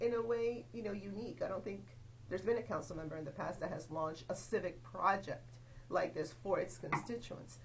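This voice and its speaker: A woman with a Spanish accent talks at a fairly quick pace, with audible room echo and noticeable background noise. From Venezuela. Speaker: local politician. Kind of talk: interview.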